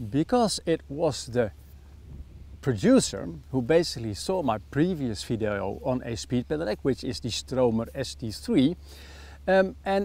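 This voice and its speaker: At a fairly slow pace, a man speaks with a Dutch accent. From Netherlands. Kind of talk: product review.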